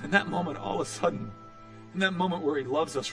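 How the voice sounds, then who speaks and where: A man is speaking. Music plays in the background. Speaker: preacher. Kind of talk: sermon delivered to a congregation.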